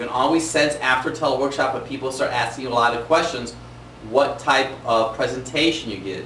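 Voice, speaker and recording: Energetic in tone, a man at medium pitch talks at a fairly quick pace with big swings in loudness, audible room echo and noticeable background noise. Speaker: chiropractor giving business training. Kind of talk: tutorial. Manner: varies pace and volume, energetic.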